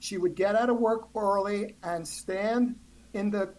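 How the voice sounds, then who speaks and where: This woman speaks at a medium pitch. She has a New Jersey accent. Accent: New Jersey American. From New Jersey, US. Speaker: author. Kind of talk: interview conversation.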